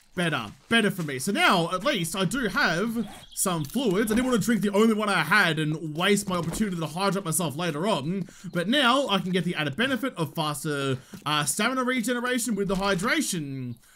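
Over light background noise, a man with a high pitch talks at a fairly quick pace in a raised, projected voice with lively intonation. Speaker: gaming YouTuber. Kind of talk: casual, slangy, joking. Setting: gaming commentary over gameplay. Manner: fast talker; slightly higher pitch and faster than usual today, anxious. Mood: wry, joking. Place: home room.

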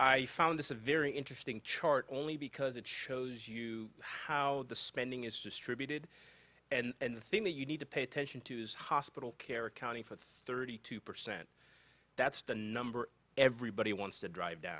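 In a bright, sharp tone, a man talks at a moderate pace. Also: medium pitch for a man, ordinary pitch variation. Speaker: healthcare lawyer. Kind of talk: conference panel presentation. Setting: conference room with live audience.

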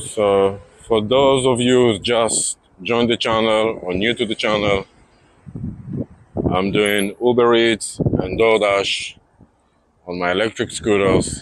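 Noticeable background noise surrounds a man with a fairly low pitch. He speaks with fairly even intonation and long, frequent pauses. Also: dry sound with no echo. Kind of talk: casual vlog chat. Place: street. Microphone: phone near.

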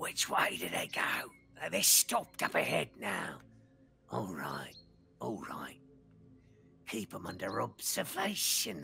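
A put-on character voice, whispered and raspy. It moves at a fairly slow pace with long, frequent pauses. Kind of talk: hushed, conspiratorial. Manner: harsh whispering.

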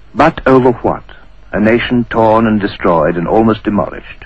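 A man uses a solemn, dramatic tone and a fairly low pitch. He talks at a fairly quick pace over noticeable background noise. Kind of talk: history documentary narration. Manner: solemn, measured, formal, dramatic delivery.

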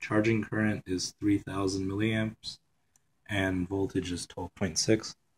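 A somewhat breathy, monotone and flat delivery at a very slow pace, with a dry, close sound and a very clean, silent background. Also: man. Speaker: electronics hobbyist. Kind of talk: casual tutorial. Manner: casual, hesitant with fillers.

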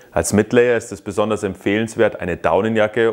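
A man talks in an ordinary speaking voice at a fairly low pitch. He keeps a fairly quick pace against a quiet background. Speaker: ski school instructor. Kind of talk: tutorial. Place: workshop.

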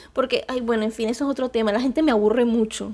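A woman speaks in an animated tone. Her voice is high for a woman. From Colombia, Valledupar; Colombia. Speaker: YouTuber. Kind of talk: casual vlog monologue. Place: home room. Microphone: lapel.

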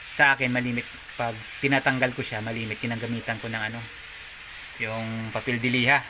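A man's medium-pitched, monotone, flat delivery at a very fast pace, broken by long, frequent pauses, with noticeable background noise. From Philippines. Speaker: DIY car maintenance vlogger. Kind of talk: tutorial. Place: garage. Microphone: phone near.

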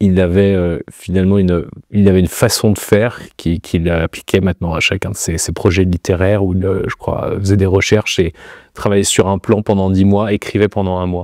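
Dry and without echo over a quiet background, a man speaks in a flat monotone with a very deep, low pitch. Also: moderate pace. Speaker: interviewee. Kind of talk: interview answer. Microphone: lapel.

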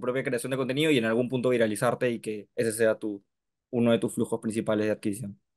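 The man's delivery is very fast and his intonation fairly even, with a quiet background. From Peru. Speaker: mentoring member; interviewer, host. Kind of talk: Q&A question. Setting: video call. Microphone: video call.

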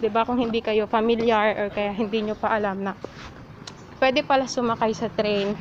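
At a moderate pace and with fairly even intonation, the voice comes through over noticeable background noise. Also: woman. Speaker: travel vlogger. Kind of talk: casual vlog chat. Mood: cheerful, playful. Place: street. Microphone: phone near.

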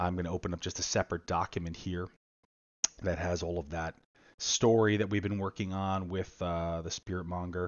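A man talks at a fairly quick pace with a very deep, low pitch. His intonation is monotone and flat over a quiet background. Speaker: board game publisher demoing own game. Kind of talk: live-streamed game rules tutorial. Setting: live online stream. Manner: casual, frequent filler words. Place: home room. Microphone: headset.

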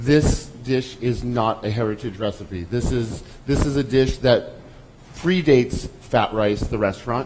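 The speaker has an American accent and ordinary pitch variation. The fairly slow speech comes with noticeable background noise. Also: man, medium pitch for a man. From Lowell, Massachusetts; Massachusetts. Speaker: chef; presenter. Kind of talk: cooking demonstration. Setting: stage with audience. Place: stage.

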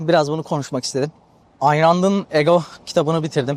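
In a dry, close sound with no echo, a man speaks at a fairly high pitch. His pace is moderate. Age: 20s. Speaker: podcaster. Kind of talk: casual monologue. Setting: outdoors on the seafront.

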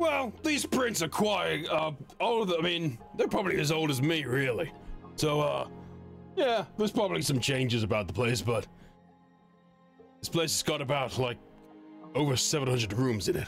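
Using a put-on character voice, a man speaks at a fairly high pitch and moderate pace. He leaves long, frequent pauses while clear music plays in the background. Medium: virtual streamer. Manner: casual, conspiratorial, folksy.

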